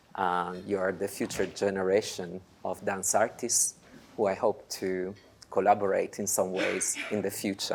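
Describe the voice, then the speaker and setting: A man speaks in an Italian accent at a moderate pace. His pitch is fairly low and his intonation monotone and flat. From Italy. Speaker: dance programmer. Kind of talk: lecture. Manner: halting.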